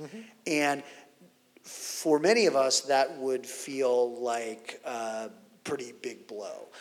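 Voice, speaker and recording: Big swings in loudness mark a man's very slow speech, which has ordinary pitch variation and noticeable background noise. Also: medium pitch for a man. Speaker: interviewer and conference host. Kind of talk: onstage interview conversation. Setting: conference stage with audience.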